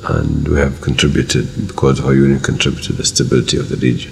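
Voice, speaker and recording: A man with a very deep, low pitch talks as light noise sounds in the background. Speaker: government minister. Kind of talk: interview answer. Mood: warm, reflective, smiling. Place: office.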